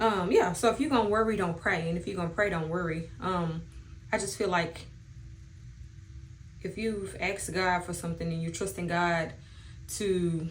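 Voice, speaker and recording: At a moderate pace broken by long, frequent pauses, a woman with a fairly low, somewhat breathy voice keeps a fairly even intonation, with audible room echo around her. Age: 30s. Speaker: beauty vlogger. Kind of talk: casual chat.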